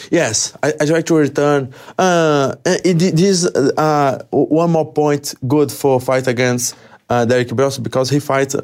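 A man speaks at a very slow pace with very even loudness. His intonation is fairly even. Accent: Portuguese. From Brazil. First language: Portuguese. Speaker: MMA fighter. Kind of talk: interview. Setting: studio. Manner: halting.

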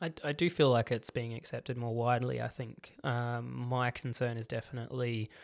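In an Australian accent, a man talks at a moderate pace with monotone, flat intonation on a very clean recording with a silent background. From Australia, Adelaide northern suburbs. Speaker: paediatric occupational therapist. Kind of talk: casual interview.

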